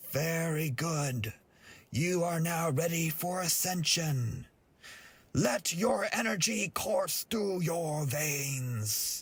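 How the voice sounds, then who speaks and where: Put-on character voice from a man, high-pitched and solemn in tone, at a very slow pace. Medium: read story. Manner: slow, solemn.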